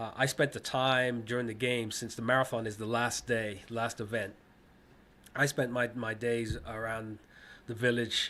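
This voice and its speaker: A man with an American accent speaks at medium pitch and a moderate pace in a monotone, flat delivery. His tone is bright and sharp on a very clean recording with a silent background. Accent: sounds American. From England, then Ohio from the late 1970s. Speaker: former Olympic distance runner. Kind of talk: interview. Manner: halting, many repeats and fillers.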